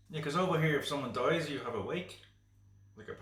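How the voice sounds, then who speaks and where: A man with a Dublin accent at a very fast pace, with noticeable background noise and audible room echo. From England. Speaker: vlogger. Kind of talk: casual chat.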